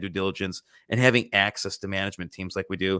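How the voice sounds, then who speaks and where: A man speaks at a very fast pace in a dry, close sound with no echo. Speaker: livestream host of investing channel. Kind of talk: casual live stream chat. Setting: live stream. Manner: quiet late-night voice.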